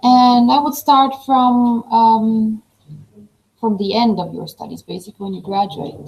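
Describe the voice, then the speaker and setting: A woman with a non-native accent speaks at a fairly slow pace. Her fairly high, somewhat breathy voice has ordinary pitch variation. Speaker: professor. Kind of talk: online webinar presentation.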